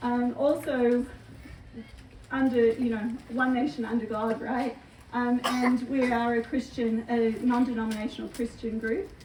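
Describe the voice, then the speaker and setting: A woman's high-pitched voice in an Australian accent, fairly slow, with fairly even intonation. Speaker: homeschool group leader. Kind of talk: informational talk at a community meeting. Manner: hesitant, many filler words.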